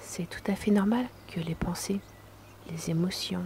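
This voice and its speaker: Fairly low-pitched woman with fairly even intonation amid noticeable background noise. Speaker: relaxation guide. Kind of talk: guided meditation. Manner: slow; soft-spoken.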